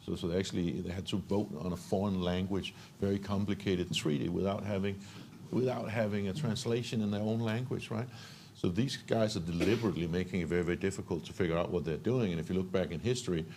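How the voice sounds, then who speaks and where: A man with a Danish accent, fairly low in pitch, with a dark, mellow tone and ordinary pitch variation, at a very fast pace. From Denmark. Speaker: entrepreneur. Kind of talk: panel discussion. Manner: halting, many repetitions.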